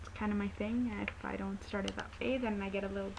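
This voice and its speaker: This is a woman speaking. Noticeable background noise is present. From Nepal. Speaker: video blogger. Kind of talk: casual vlog Q&A. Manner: halting, hesitant.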